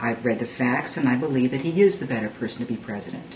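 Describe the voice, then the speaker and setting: A woman speaks with a very deep, low pitch and lively intonation. Noticeable background noise runs under her voice. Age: 60s. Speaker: mother. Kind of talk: political opinion talk to camera.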